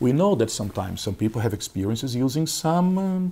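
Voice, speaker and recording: At a moderate pace, a man with a fairly high pitch and vocal fry makes very wide pitch swings. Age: 50s. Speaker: consciousness researcher and instructor. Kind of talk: interview.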